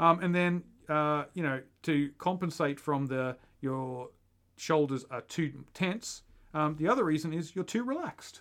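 At a fairly slow pace and a fairly high pitch, a man speaks in an ordinary speaking voice with ordinary pitch variation on a very clean recording with a silent background. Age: 40s. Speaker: podcast co-host, runner. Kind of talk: casual chat.

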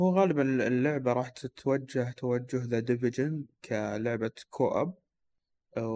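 Very slowly, a man speaks in a medium pitch with ordinary pitch variation. His voice has a dark, mellow tone. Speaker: podcast co-host. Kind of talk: casual chat about video games.

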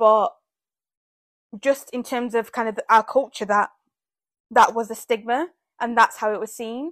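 A woman with a British accent speaks at a moderate pace and fairly high pitch, with fairly even intonation, long, frequent pauses and big swings in loudness, on a very clean recording with a silent background and a dry, close sound with no echo. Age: 20s. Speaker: podcast host. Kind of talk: casual solo monologue.

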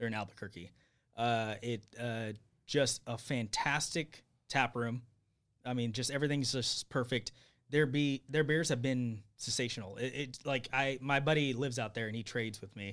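Against a silent background in a very clean recording, a man with an American accent talks at a moderate pace in an ordinary speaking voice, medium in pitch, with fairly even intonation. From Bakersfield, California. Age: 30s. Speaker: brewery owner. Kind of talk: casual chat. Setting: studio.

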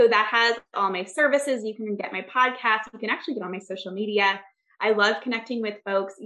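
A woman with an American accent speaks in a normal speaking voice at a fairly high pitch and fairly quick pace. Her loudness swings widely. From US Midwest, Michigan. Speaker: success coach and therapist. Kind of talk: casual interview.

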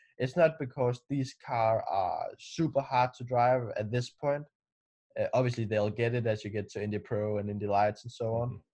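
Against a quiet background, a man with a Danish accent talks at a moderate pace in a dark, mellow, somewhat breathy tone, at medium pitch with ordinary pitch variation. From Denmark. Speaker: racing driver. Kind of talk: interview.

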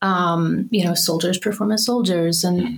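With an American accent, an unremarkable speaking voice moves at a moderate pace with ordinary pitch variation. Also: woman. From US South, Birmingham, Alabama. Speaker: artist. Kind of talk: casual interview.

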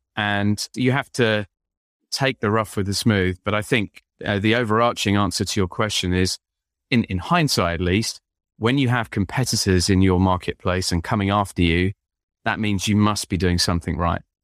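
With an English accent, a man speaks in a fairly low voice at a very even loudness, the sound dry and close with no echo and the background silent on a very clean recording. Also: ordinary pitch variation, moderate pace. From England, London. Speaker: business founder and author. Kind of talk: podcast interview.

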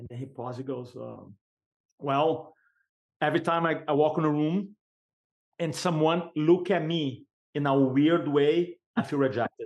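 Moderate pace with long, frequent pauses, fairly even intonation and big swings in loudness. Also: man, fairly high pitch for a man. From Brazil. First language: Portuguese. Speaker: sales and speaking coach. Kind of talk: podcast interview.

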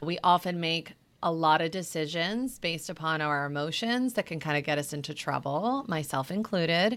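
In an ordinary speaking voice, a woman with a fairly low pitch speaks at a moderate pace with lively intonation, recorded very cleanly against a silent background. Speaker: clinical psychologist. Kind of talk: interview conversation.

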